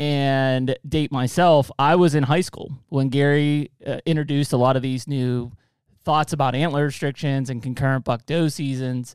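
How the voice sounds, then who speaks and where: With a plain, everyday voice, a man talks at a fairly high pitch and a moderate pace, his intonation fairly even. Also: dry, close sound with no echo, very clean recording, silent background. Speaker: podcast host. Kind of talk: casual interview.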